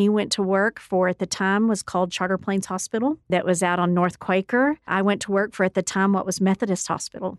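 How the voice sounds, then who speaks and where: With an American accent, a woman speaks in a normal speaking voice at a medium pitch and fairly even intonation, with a dry, close sound with no echo and a quiet background. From West Texas (Odessa). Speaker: university president. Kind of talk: radio interview.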